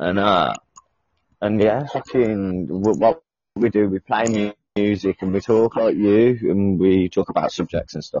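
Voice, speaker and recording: Pitched fairly low, a man delivers his words with a British accent. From UK. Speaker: caller. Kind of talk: casual chat.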